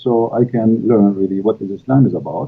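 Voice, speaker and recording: A man speaks with an Arabic accent at a medium pitch. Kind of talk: live online interview. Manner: hesitant, many fillers.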